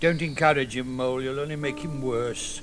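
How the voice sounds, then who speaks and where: A man puts on a gruff character voice at a medium pitch and a moderate pace. Music plays clearly in the background. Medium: old radio play. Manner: gruff, stern.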